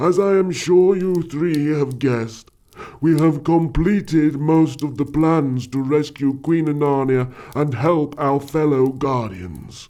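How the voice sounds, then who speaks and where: Using a put-on character voice, a man speaks at a fairly slow pace in a fairly high pitch. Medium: audio drama. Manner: formal, commanding.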